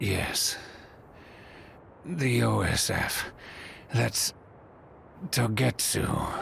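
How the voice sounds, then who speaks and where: A man puts on a raspy character voice, fairly low in pitch, with very wide pitch swings. He goes very slowly with long, frequent pauses, and background noise is clear. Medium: video game.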